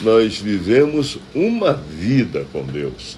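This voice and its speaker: A man's voice makes very wide pitch swings. Noticeable background noise and audible room echo surround it. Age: 60s. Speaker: pastor. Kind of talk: devotional sermon.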